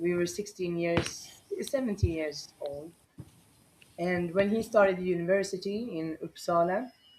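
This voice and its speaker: A woman talks at a fairly slow pace and medium pitch with ordinary pitch variation, over noticeable background noise. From Sweden (Borlänge). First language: Swedish. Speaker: dog rescuer. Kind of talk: interview. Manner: halting.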